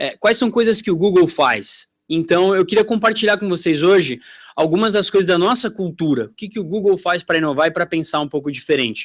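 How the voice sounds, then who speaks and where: A man with a strong São Paulo accent speaks in a high voice with ordinary pitch variation, at a fairly quick pace with hardly any pauses, on a very clean recording with a silent background. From Brazil, São Paulo. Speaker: tech company sales representative. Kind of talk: conference talk. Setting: stage with audience. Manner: casual, conversational.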